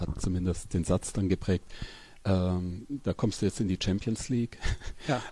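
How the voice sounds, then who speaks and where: A man's fairly low, dark, mellow voice at a fairly slow pace, in a very clean recording with a silent background. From Upper Palatinate, northeastern Bavaria. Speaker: crime novelist. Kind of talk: interview conversation. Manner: halting.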